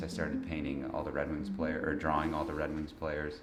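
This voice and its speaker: A man's very deep, low voice in a flat monotone at a fairly quick pace, with audible room echo and noticeable background noise. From Detroit, Michigan, US. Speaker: visual artist. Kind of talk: interview. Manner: casual, hesitant with many fillers.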